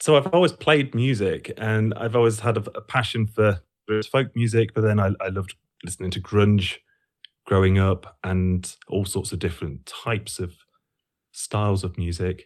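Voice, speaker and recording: Here a man with an East Midlands accent speaks at a fairly low pitch and a moderate pace. His pitch variation is ordinary, and the recording is very clean with a silent background. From Lincolnshire, England. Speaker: musician and sound educator. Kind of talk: interview.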